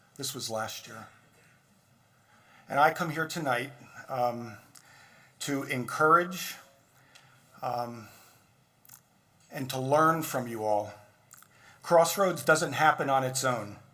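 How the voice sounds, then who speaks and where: With audible room echo, a man at a medium pitch speaks very slowly, leaving long, frequent pauses, his loudness swinging widely and his pitch varying an ordinary amount. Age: 60s. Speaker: physician and guest speaker. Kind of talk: speech at benefit dinner. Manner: informal, conversational.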